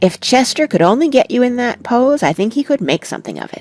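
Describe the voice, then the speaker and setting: A woman uses a put-on character voice, high and shrill with lively intonation, at a fairly quick pace, the sound dry and close with no echo and faint music in the background. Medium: read story.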